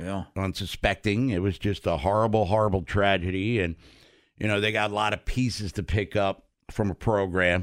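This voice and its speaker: A man with an American accent and an unremarkable speaking voice, fairly low pitch, fairly even intonation and moderate pace, on a very clean recording with a silent background. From Maryland, US. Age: 50s. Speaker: sports radio host. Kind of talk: casual chat.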